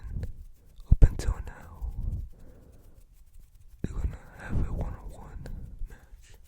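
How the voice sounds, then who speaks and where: Someone whispers with long, frequent pauses against noticeable background noise. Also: fairly slow pace. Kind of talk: casual commentary on wrestling matches. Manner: soft-spoken.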